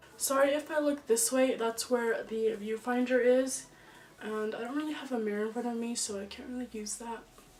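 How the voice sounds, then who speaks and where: A woman at a fairly high pitch and moderate pace, with fairly even intonation and noticeable background noise. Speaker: beauty vlogger. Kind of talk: tutorial. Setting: home filming setup with softbox lights. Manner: casual, chatty.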